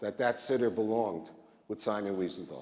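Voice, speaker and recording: With an American accent, a man speaks with ordinary pitch variation, and audible room echo surrounds his voice. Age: 60s. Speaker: rabbi. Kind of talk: conference talk.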